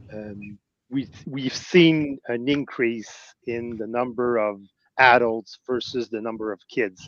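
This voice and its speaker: A man's medium-pitched voice with a Quebec accent, very slow pace, fairly even intonation and big swings in loudness, dry and close with no echo against a quiet background. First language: French. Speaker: Lego fan show organizer. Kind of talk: casual chat. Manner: halting.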